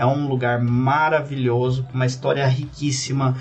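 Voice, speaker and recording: There is noticeable background noise as a man of medium pitch speaks at a moderate pace. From Brazil, interior of São Paulo state. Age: 20s. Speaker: cloud manager. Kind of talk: podcast interview.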